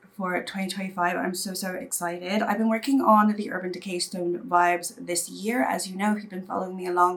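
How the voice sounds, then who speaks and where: At a fairly quick pace, a woman with a British accent talks with ordinary pitch variation. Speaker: beauty youtuber. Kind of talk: casual vlog talk to camera.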